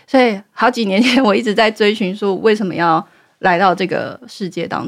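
A woman at a fairly quick pace, medium in pitch with ordinary variation, on a very clean recording with a silent background. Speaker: meditation guide. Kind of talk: interview.

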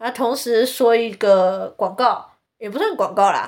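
Someone speaks with a Taiwanese accent at a fairly slow pace. The tone is animated, with ordinary pitch variation. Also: woman. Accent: Taiwanese Mandarin. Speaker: podcast host. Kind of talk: casual monologue.

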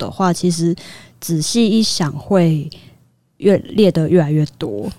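At a very slow pace, a woman speaks with a dark, mellow tone and fairly low pitch. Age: 30s. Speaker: arts worker. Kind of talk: casual chat.

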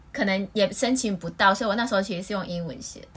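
The background noise here is noticeable. Through it, a woman's voice is heard. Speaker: podcast host. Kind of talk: casual chat.

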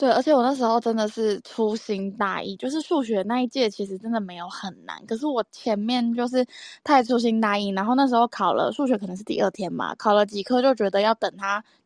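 In a plain, everyday voice, a woman with a fairly high pitch and ordinary pitch variation talks at a fairly quick pace with hardly any pauses, the sound dry and close with no echo. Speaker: podcast co-host. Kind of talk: casual chat.

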